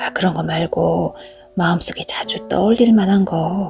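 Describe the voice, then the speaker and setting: A woman's calm tone over music in the background. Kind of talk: audiobook narration of a short story. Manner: soft-spoken, calm.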